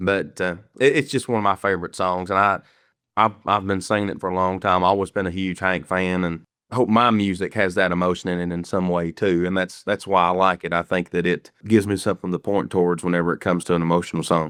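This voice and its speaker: Very fast and very deep, a man with a strong Kentucky accent speaks with fairly even intonation, in a dry, close sound with no echo and a quiet background. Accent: strong rural Kentucky country. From Kentucky, Garrard County (Lancaster). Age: 20s. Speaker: country singer. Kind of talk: casual interview.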